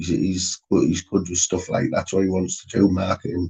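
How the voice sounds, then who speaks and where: A man with a very deep, low pitch and a somewhat breathy voice talks at a moderate pace, recorded with a dry, close sound and no echo. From Middlesbrough, northeast England. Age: 50s. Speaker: live stream host. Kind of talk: casual chat. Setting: live stream.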